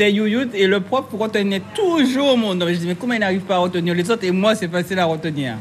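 Over noticeable background noise, a woman at medium pitch speaks at a very fast pace with hardly any pauses and ordinary pitch variation. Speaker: ice cream maker. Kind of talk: casual chat.

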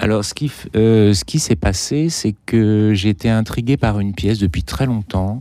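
This man's voice is fairly low in pitch with a dark, mellow tone. His pace is moderate and his pitch variation ordinary. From Martinique. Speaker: concert pianist. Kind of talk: radio interview. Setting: radio studio.

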